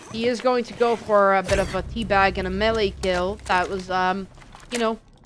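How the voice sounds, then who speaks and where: A woman speaks fairly slowly against noticeable background noise. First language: not English. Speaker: esports caster. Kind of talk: live commentary. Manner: animated.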